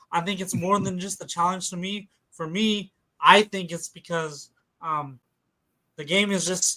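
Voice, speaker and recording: A man speaks in a high pitch with a bright, sharp tone. His pace is fairly slow. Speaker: gaming streamer and show host. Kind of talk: casual chat. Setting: live stream. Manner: animated.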